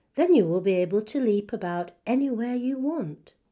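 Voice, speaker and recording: A female-sounding voice performs a put-on character voice at a fairly high pitch and a moderate pace. The background is quiet. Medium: read story.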